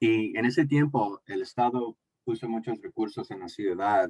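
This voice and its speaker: Speaking fairly slowly with an English accent, a man uses lively intonation, and the sound is dry and close with no echo. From United States (born in Mexico). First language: English (speaking Spanish). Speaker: community health speaker. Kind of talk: panel presentation. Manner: halting, many fillers.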